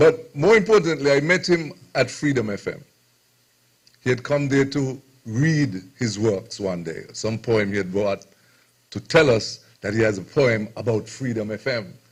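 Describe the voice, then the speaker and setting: Somewhat breathy and lively in intonation, a man talks at a moderate pace in a medium pitch. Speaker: radio host. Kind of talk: speech at book launch.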